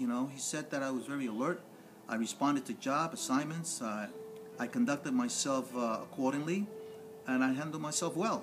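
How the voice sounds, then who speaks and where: With music in the background, a man with an American accent talks at a fairly quick pace in a fairly high pitch, swinging very widely in pitch. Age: 60s. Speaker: former police officer. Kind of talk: interview.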